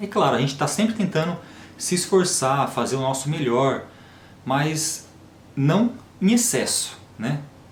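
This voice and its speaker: Spoken at a fairly slow pace with lively intonation, the voice carries audible room echo. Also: man. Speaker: health and diet vlogger. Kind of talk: casual monologue to camera. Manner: natural, unforced delivery.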